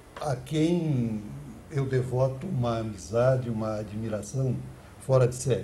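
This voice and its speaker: Over audible room echo, a man with a medium pitch speaks somewhat breathily at a fairly slow pace, his pitch varying in an ordinary way. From Santa Catarina, southern Brazil. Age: 80s+. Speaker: former mayor and politician, ex-radio broadcaster. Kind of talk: interview. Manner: formal; halting.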